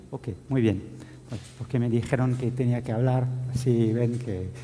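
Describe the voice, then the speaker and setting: Amid noticeable background noise and audible room echo, a man speaks at a medium pitch. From France. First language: French (speaking Spanish). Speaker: IT security officer. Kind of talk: conference talk. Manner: halting, many fillers.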